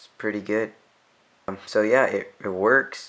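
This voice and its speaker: A man speaks at a very slow pace with a fairly low pitch. His intonation is monotone and flat. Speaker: tech youtuber. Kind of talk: tutorial. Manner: quiet.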